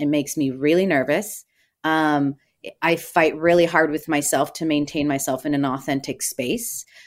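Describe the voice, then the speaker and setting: On a very clean recording with a silent background, a woman with a very deep, low pitch speaks at a moderate pace. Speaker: celebrity chef and TV host. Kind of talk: interview.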